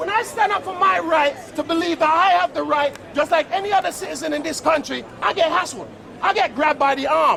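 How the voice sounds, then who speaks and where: Raising and projecting his voice, a man talks at an extremely high pitch and a fairly quick pace. Crowd noise can be heard in the background. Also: ordinary pitch variation. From London, Battersea, West Indian family. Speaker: local resident. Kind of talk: heated street argument. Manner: loud; animated.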